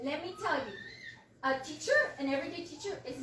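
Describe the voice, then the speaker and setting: A woman speaks at a fairly quick pace in a raised, projected voice with a high pitch. Audible room echo surrounds her. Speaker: substitute teacher speaking at public comment. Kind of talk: public comment at a county board meeting. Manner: loud; impassioned.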